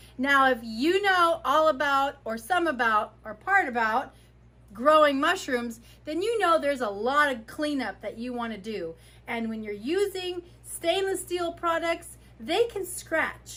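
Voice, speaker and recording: A woman's raised, projected voice carries a bright, sharp tone at a high pitch, with very wide pitch swings and big swings in loudness. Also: fairly slow pace. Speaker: mycologist. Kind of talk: casual talk to camera.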